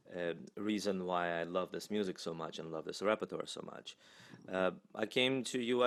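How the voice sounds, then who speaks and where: A man speaks in a Russian accent. His pace is moderate and his pitch variation ordinary. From Russia, Moscow. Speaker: singer and voice professor. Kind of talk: interview.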